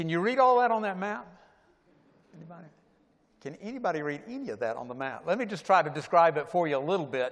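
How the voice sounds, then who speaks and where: A man with an American accent speaks at a very fast pace in a high pitch, with very wide pitch swings and big swings in loudness. Long, frequent pauses break up his speech, and the room echo is audible. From US South, Atlanta. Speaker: pastor. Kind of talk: sermon. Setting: church.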